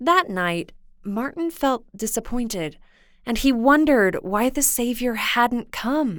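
Very slow and lively in intonation, a woman speaks in a high voice with a gentle, warm tone on a very clean recording with a silent background. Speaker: radio host. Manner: gentle, warm, storyteller's pace.

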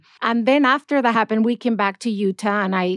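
At a moderate pace, a woman speaks with a Spanish accent and ordinary pitch variation. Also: dry, close sound with no echo, very clean recording, silent background. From Madrid, Spain. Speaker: church spokesperson. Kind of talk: casual interview chat. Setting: in person, socially distanced.

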